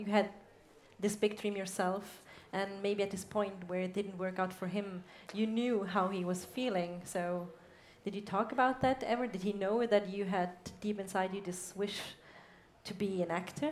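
Amid audible room echo, a woman with a German accent speaks at a moderate pace and medium pitch, with fairly even intonation and long, frequent pauses. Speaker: interviewer. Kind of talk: on-stage interview. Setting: stage with audience.

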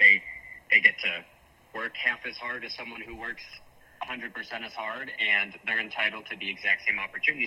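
A man talks at a moderate pace, his loudness swinging widely. Noticeable background noise sits behind him. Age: young. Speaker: young political organizer. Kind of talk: radio interview.

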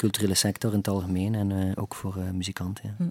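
Very fast and in a monotone, flat intonation, a man speaks with a very deep, low voice. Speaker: musician. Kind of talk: casual interview. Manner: halting, many hesitations.

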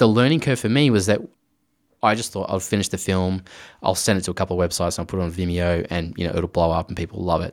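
With an Australian accent, a man talks at a very fast pace in a very deep, low voice with ordinary pitch variation, in a very clean recording with a silent background. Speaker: director and visual effects artist. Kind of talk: interview.

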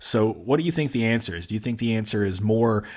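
Someone with a Kentucky accent speaks at a very fast pace with ordinary pitch variation, in a very clean recording with a silent background. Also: man. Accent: Southern US (Kentucky). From Kentucky (Mayfield, western KY). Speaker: podcast host, information security practitioner. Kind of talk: casual interview chat.

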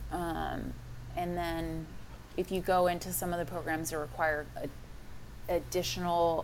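A woman speaks with a Texan accent, and some room echo can be heard. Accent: Texan American. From Texas. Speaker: fitness coach. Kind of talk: interview.

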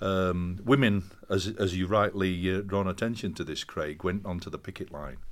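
A man in a Yorkshire accent speaks with a very deep, low pitch at a moderate pace. His intonation is fairly even, with hardly any pauses. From northern England, Castleford, West Yorkshire. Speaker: professor. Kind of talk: interview.

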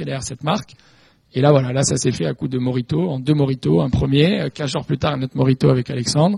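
A man speaks at a very fast pace in a medium pitch, his tone dark and mellow. The voice is somewhat breathy, with ordinary pitch variation. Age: 30s. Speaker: fashion brand executive. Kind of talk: panel talk.

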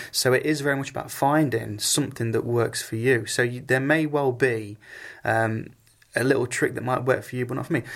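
An ordinary speaking voice moves at a fairly quick pace. Its intonation stays fairly even. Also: man, medium pitch for a man. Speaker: singer. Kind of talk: interview chat.

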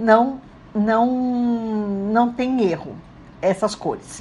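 With music in the background, a woman with a fairly high pitch speaks at a very slow pace and ordinary pitch variation. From Brazil. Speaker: radio host. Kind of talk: radio talk. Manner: casual, conversational.

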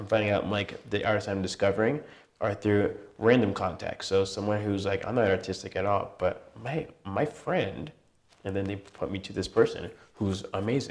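A man with a fairly low pitch and ordinary pitch variation talks at a fairly quick pace, broken by long, frequent pauses. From California, military family, moved around. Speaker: musician and event organizer. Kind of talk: interview. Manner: halting, many fillers.

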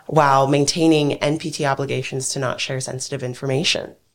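Over a silent background in a very clean recording, a woman talks at a moderate pace with a very deep, low pitch. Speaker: nuclear security nonprofit expert. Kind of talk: panel discussion interview.

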